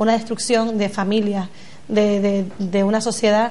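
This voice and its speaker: Speaking fairly slowly, a woman keeps a monotone, flat intonation. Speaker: guest. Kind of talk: political debate answer. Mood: earnest, concerned. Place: studio.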